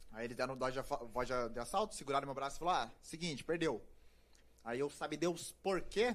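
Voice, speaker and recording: Using a normal speaking voice, a man with a fairly high pitch talks at a moderate pace with lively intonation. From Paraná, Brazil (grew up near Curitiba). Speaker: journalist and actor. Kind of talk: casual chat. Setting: live-streamed podcast studio.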